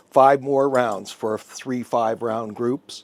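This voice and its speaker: A man speaks at a very slow pace and a medium pitch with ordinary pitch variation. Noticeable background noise runs behind him. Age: 70s. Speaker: firearms company representative. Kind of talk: product demonstration.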